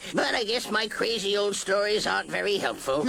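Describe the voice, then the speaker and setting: A man's cartoonish character voice, high in pitch, fairly quick, very even in loudness, with clear background noise. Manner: gruff, folksy.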